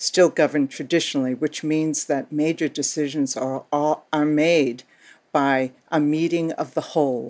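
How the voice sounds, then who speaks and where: A woman with a Boston accent and a very deep, low voice talks at a moderate pace in a monotone, flat intonation, on a very clean recording with a silent background. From Boston, US Northeast. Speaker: Native organizer, nonprofit director. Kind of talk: interview, explanatory.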